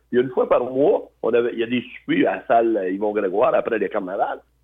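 A man at a moderate pace and medium pitch, with a plain, everyday voice. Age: 60s. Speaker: biker and charity fundraiser. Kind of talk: casual interview, personal life story.

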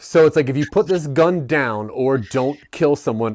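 Recorded very cleanly against a silent background, a man speaks in an ordinary speaking voice with lively intonation. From Maryland. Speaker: podcast host. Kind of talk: casual chat.

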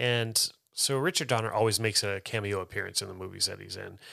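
In a very clean recording with a silent background, a man with an American accent speaks at a moderate pace in a medium pitch with a bright, sharp tone. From California. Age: 40s. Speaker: actor and film podcast co-host. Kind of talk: casual movie discussion. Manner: halting, many repeated words and fillers.

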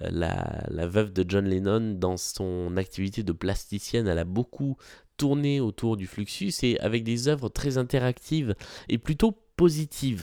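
Speaking at a fairly slow pace, a man with a dark, mellow tone uses lively intonation, recorded in a dry, close sound with no echo. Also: very clean recording, silent background. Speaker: podcast host, art commentator. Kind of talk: solo podcast talk about exhibitions. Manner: frequent hesitations (euh).

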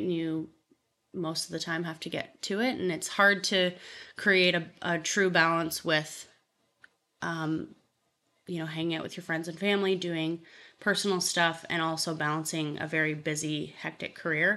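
In a Canadian accent, a woman with a normal speaking voice and fairly low pitch talks at a moderate pace against a quiet background. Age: 20s. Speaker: real estate agent. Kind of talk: interview.

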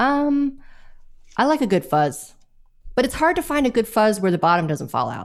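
A woman with an American accent speaks in very wide pitch swings, leaving long, frequent pauses. The recording is very clean, with a silent background. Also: fairly high pitch for a woman, moderate pace. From Los Angeles, California. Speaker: bassist. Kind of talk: casual interview chat.

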